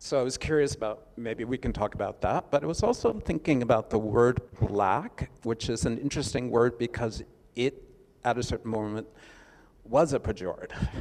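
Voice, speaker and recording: With an American accent, a man talks in a normal speaking voice at medium pitch and a moderate pace, with ordinary pitch variation. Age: 60s. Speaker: artist. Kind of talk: panel discussion.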